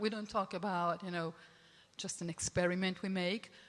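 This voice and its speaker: In an Italian accent, a woman talks at a fairly quick pace. Her pitch is medium, with ordinary variation. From Italy. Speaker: film festival programmer. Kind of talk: panel discussion. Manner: halting.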